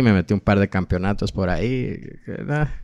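Against a quiet background, a man with an ordinary speaking voice talks at a fairly low pitch with lively intonation. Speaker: podcast host. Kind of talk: interview.

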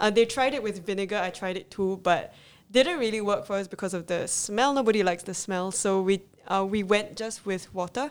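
A woman with an ordinary speaking voice shows ordinary pitch variation in a very clean recording with a silent background. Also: medium pitch for a woman, fairly quick pace. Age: 20s. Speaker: small business owner, zero waste advocate. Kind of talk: interview.

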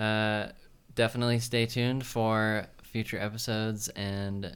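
In a very clean recording with a silent background, a man with a fairly low pitch uses a normal speaking voice and fairly even intonation. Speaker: podcast host. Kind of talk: casual chat.

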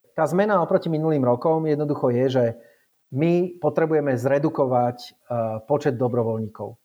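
Pitched fairly high, a man talks at a moderate pace with ordinary pitch variation and very even loudness. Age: 40s. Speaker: race organizer and ultrarunner. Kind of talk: casual interview. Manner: halting, with many repetitions and fillers.

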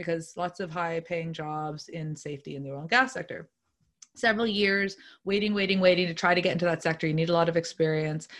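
A woman with a Nova Scotian accent, fairly low in pitch, talking at a very fast pace with ordinary pitch variation and big swings in loudness, over a quiet background. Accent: Atlantic Canadian (Nova Scotian). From Nova Scotia, South Shore (Lunenburg). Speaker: entrepreneur and marketer. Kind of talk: interview conversation.

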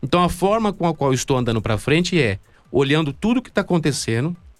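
Talking at a very fast pace, a man uses a fairly high pitch with very wide pitch swings. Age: 30s. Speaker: comic project creator. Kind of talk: casual chat.

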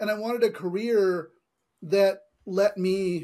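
Recorded very clean with a silent background, a man with an American accent speaks at a high pitch. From California. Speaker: tech entrepreneur. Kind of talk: interview.

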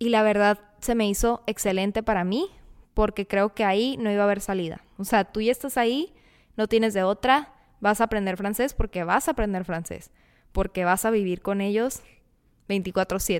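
In an unremarkable speaking voice, a woman at a medium pitch talks at a moderate pace with ordinary pitch variation, the sound dry and close with no echo. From Mexicali, Baja California, Mexico. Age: 20s. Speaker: podcast host, recent dental graduate. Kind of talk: casual monologue.

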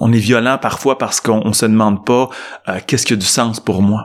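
Fairly low male pitch from a man, with ordinary pitch variation. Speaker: psychologist and management professor. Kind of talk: interview.

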